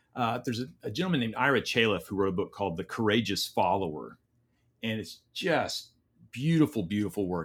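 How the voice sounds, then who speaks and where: A man's normal speaking voice, fairly low in pitch, with lively intonation and a fairly quick pace, on a very clean recording with a silent background. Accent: American. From Oklahoma. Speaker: leadership coach. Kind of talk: interview conversation.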